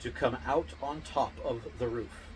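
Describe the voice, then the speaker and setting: A man's medium-pitched voice with vocal fry. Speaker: storyteller reading fairy tales aloud. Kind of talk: reading aloud. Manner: halting; mumbling.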